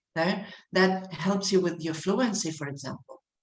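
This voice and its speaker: Audible room echo surrounds this woman's somewhat breathy voice. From Argentina. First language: Spanish. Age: 50s. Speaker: English teacher. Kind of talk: online lecture to students. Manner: animated.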